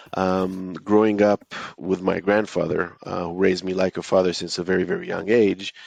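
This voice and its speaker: Monotone, flat intonation in an Israeli accent. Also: man, very deep, low pitch for a man, moderate pace. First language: Hebrew. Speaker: author and entrepreneur. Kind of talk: interview. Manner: hesitant, many fillers.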